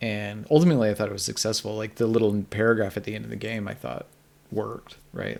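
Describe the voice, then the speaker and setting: A man's fairly low-pitched voice with vocal fry. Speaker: game narrative analyst streamer. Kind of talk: live stream commentary. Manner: fast.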